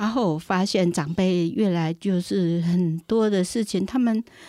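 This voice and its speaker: A woman's dark, mellow tone at a medium pitch, with ordinary pitch variation, in a very clean recording with a silent background. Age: 60s. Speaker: community association director and volunteer. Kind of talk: interview.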